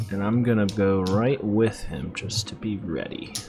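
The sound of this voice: Clear music plays behind a man whose fairly low voice carries vocal fry, moving at a fairly slow pace with ordinary pitch variation.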